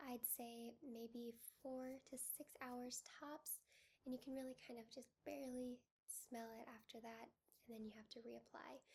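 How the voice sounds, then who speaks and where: This woman speaks at a fairly slow pace in a high voice with flat, monotone intonation. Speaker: fragrance reviewer. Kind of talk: casual product review to camera.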